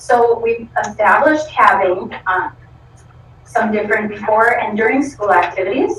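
An American-accented woman at a moderate pace, with lively intonation. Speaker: school program coordinator. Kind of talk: presentation to school board. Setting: school board meeting.

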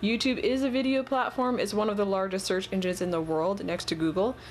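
A woman with an unremarkable speaking voice, lively intonation and a fairly quick pace. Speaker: colored pencil artist. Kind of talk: video essay-style tutorial advice monologue. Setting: online video with voiceover while showing drawings.

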